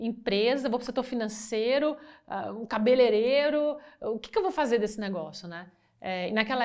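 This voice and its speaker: A woman talks at a moderate pace in a fairly high pitch. The recording is very clean, with a silent background. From Brazil, Brasília. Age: 50s. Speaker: business executive. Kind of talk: interview. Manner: halting.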